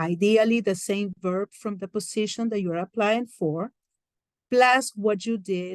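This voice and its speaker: A woman with a Peruvian accent speaks at a very slow pace, her pitch medium and her intonation fairly even. The sound is dry and close with no echo. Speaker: career coach. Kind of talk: lecture.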